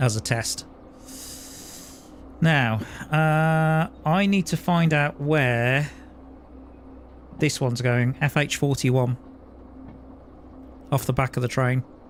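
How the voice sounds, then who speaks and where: Very slow speech in a British accent, with very even loudness and long, frequent pauses. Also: man, fairly high pitch for a man, ordinary pitch variation. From UK. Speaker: gaming streamer. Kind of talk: live gameplay commentary. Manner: casual, with frequent hesitations.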